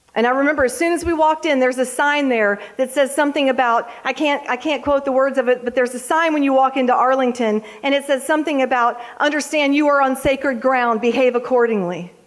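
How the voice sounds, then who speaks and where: Over noticeable background noise, a woman with a high pitch and an American accent talks at a very fast pace, with ordinary pitch variation and very even loudness. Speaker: Gold Star mother and national speaker. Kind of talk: motivational speech to live audience.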